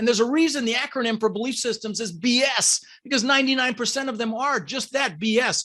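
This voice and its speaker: A man speaks very fast in a raised, projected voice. His high-pitched, animated voice has a bright, sharp tone. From Denver, US (immigrated from the Netherlands at six). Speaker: real estate investor and coach. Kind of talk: podcast interview.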